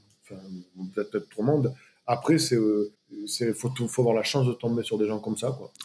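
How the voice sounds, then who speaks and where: A man speaks at a moderate pace in a medium pitch, with a dark, mellow tone and ordinary pitch variation. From southwest France, small village. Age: 40s. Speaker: music concert producer. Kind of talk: interview. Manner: hesitant, many fillers and repetitions.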